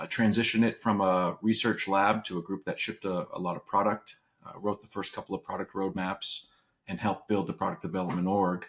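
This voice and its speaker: A man at a fairly quick pace, with a slight Canadian accent. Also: fairly low pitch for a man, fairly even intonation. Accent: subtle Canadian. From Canada. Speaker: venture capitalist, former tech product head. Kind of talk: interview. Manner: frequent fillers and repetitions.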